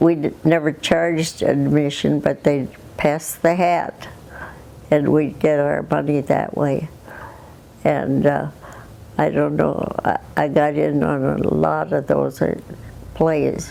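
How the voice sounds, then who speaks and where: A woman with an Upper Midwest accent speaks at a very slow pace, leaving long, frequent pauses. Her loudness is very even, and there is noticeable background noise. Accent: Upper Midwest American. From southwestern Minnesota, USA. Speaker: retired farm woman. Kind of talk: interview answer.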